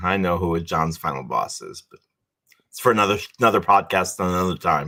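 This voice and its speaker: Very deep and low in pitch, a man speaks at a fairly quick pace with a bright, sharp tone, big swings in loudness and ordinary pitch variation. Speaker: sports podcast co-host. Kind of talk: casual chat. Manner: loud, boisterous; talkative, outgoing.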